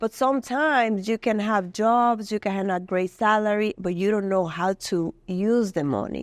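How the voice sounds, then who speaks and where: A woman with a Dominican accent at a moderate pace and medium pitch, with ordinary pitch variation, very even loudness, hardly any pauses, a dry, close sound with no echo and a quiet background. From Dominican Republic. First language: Spanish. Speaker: community health worker. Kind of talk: interview. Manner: halting.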